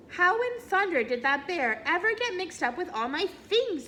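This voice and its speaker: In a put-on character voice, a woman speaks at an extremely high pitch with very wide pitch swings over clear background noise. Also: moderate pace. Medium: read story.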